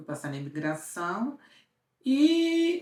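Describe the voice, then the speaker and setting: A woman speaks with fairly high pitch. Her pitch swings very widely. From interior of Brazil. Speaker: lifestyle vlogger. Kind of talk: casual storytelling vlog. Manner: animated.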